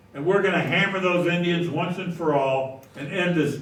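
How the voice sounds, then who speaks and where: A man speaks at a high pitch with ordinary pitch variation. Noticeable background noise and audible room echo surround him. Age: 80s+. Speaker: local historian giving a talk. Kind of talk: history talk to a society audience. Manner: conversational, with hesitations.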